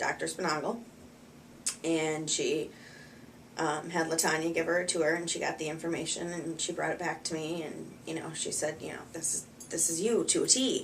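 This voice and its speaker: A woman with an American accent, fairly low in pitch, monotone and flat, at a moderate pace, with audible room echo. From US Midwest, Wisconsin. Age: 30s. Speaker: patient. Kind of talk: testimony. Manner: halting, many fillers.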